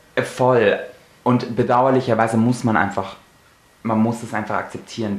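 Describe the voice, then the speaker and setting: A man speaks with audible room echo. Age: 20s. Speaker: podcast co-host. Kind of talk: casual chat.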